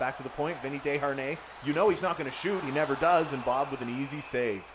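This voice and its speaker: Noticeable background noise sits under a man talking at a very fast pace. His pitch is fairly high. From Canada. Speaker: gaming streamer. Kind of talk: live game commentary with chat reading. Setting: live stream. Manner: animated.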